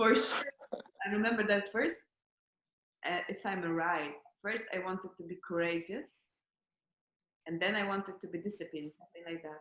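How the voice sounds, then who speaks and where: Someone with a non-native accent speaks at a moderate pace with ordinary pitch variation, long, frequent pauses and big swings in loudness. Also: woman, medium pitch for a woman. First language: not English. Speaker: former course participant. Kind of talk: interview. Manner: halting.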